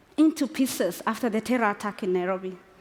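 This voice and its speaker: Noticeable background noise runs behind a woman's speech. She keeps a moderate pace with lively intonation. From northern Kenya. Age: 40s. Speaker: women's football advocate. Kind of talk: inspirational speech. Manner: impassioned.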